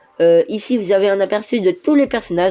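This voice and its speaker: A woman speaks at a fairly high pitch with lively intonation. Her tone is dark and mellow. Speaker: toy review youtuber. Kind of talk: product presentation over images. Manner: hesitant, many fillers.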